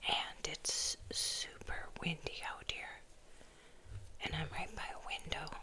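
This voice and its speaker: A woman whispers very slowly while noticeable background noise fills the clip. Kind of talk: ASMR whisper. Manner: whispered.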